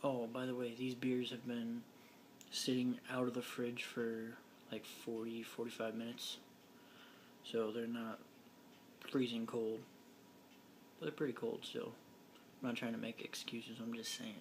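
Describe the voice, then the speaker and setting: Quiet and monotone, a man speaks in a flat intonation with long, frequent pauses. Noticeable background noise runs underneath. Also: medium pitch for a man, moderate pace. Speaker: vlogger. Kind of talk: casual vlog. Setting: home living room.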